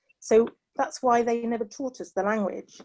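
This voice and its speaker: A woman is speaking. She has a British accent. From England. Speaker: panelist. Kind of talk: panel discussion. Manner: hesitant, many fillers.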